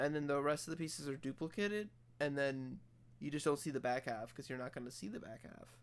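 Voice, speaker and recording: Moderate-paced speech from a man with a fairly high pitch. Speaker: Minecraft streamer. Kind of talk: casual livestream commentary. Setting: livestream.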